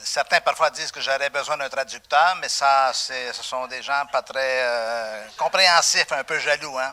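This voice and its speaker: A man talks at a fairly slow pace with hardly any pauses. His pitch is fairly high, and his loudness swings widely. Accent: Quebec. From Quebec. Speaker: pastor. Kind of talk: sermon. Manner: animated.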